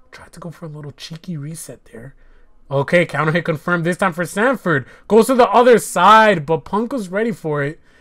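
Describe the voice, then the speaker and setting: A man's high-pitched voice at a fairly quick pace, with lively intonation and big swings in loudness. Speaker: aspiring fighting game commentator. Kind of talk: live esports-style game commentary.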